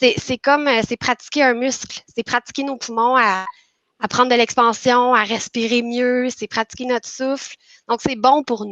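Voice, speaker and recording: Her voice high, a woman talks with fairly even intonation. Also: dry, close sound with no echo. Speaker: patient sharing testimony. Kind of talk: testimony. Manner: halting.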